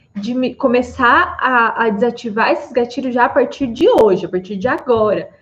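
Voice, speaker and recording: A woman with a fairly high pitch speaks at a moderate pace, using ordinary pitch variation. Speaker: psychologist. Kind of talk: live stream talk. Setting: live stream on Instagram and YouTube.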